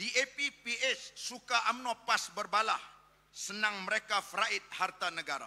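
A man's high, bright, sharp voice at a very slow pace, with ordinary pitch variation. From Malaysia. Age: 50s. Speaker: politician and Islamic cleric; politician. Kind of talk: political rally speech. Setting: stage with audience. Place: hall. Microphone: podium.

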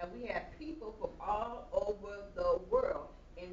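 A woman talks with an American accent. Audible room echo and light background noise surround her voice. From Chicago. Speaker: evangelist. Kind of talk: sermon. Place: church. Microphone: camera far.

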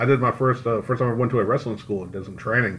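Keeping his intonation fairly even, a man talks in a mid-range pitch with an ordinary speaking voice. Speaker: podcast co-host. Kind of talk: casual chat.

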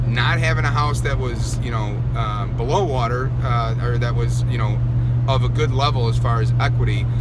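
Loud background noise runs under this recording. A man talks at a moderate pace. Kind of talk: casual vlog chat. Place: car. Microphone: phone near.

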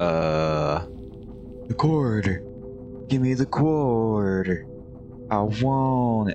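A man speaks at a medium pitch in a put-on character voice. He talks very slowly over loud music in the background.

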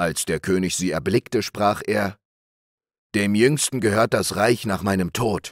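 With a plain, everyday voice, a man speaks at a fairly low pitch and a fairly slow pace, his pitch varying in an ordinary way, in a very clean recording with a silent background and a dry, close sound with no echo. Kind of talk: bedtime story reading aloud. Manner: slow, calm, soothing.

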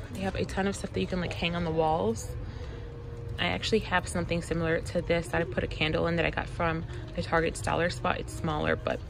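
A woman speaks at a very fast pace. Faint music plays in the background. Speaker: vlogger. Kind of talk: casual vlog chat. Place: shop. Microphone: phone near.

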